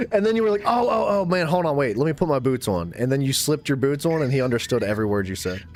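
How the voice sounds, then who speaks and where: An animated man with an American accent, fairly high pitch and very wide pitch swings, amid noticeable background noise. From USA. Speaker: gaming streamer. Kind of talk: casual chat. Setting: live stream.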